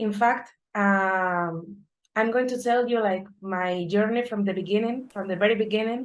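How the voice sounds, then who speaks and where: A woman with a Spanish accent speaks at a medium pitch and a moderate pace, her intonation fairly even. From Spain, Madrid. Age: 30s. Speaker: data analyst. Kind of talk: conference talk.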